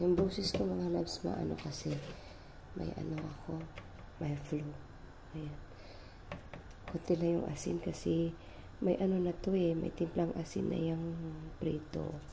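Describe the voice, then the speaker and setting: Pausing long and often, a woman speaks at a fairly slow pace with audible room echo. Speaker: cooking vlogger. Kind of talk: cooking tutorial. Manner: casual, chatty.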